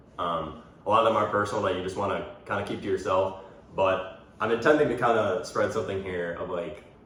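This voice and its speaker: A man at a very fast pace, with ordinary pitch variation, noticeable background noise and audible room echo. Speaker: podcast host and college athlete. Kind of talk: casual chat.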